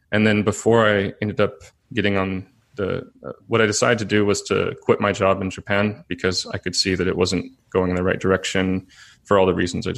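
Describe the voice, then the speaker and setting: This man speaks with an American accent at a fairly quick pace. His pitch is fairly low and his intonation is monotone and flat. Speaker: entrepreneur helping people move abroad. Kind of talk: interview. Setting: remote call.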